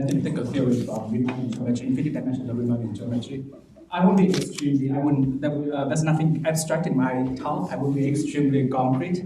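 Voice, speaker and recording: Noticeable background noise, audible room echo, a very fast pace and ordinary pitch variation. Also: man, fairly high pitch for a man. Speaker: mathematics researcher. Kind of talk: lecture. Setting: conference talk with audience. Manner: hesitant, many fillers.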